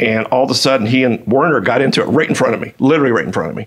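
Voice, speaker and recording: A man speaks very fast, his medium-pitched voice showing ordinary pitch variation. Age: 60s. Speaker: retired commodities trader. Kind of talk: casual interview. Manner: halting with many repetitions.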